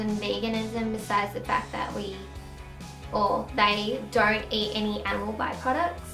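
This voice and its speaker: A woman with an Australian accent speaks at a moderate pace. Clear music plays in the background, and the room echo is audible. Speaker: vlogger. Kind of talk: casual talk to camera. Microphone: camera far.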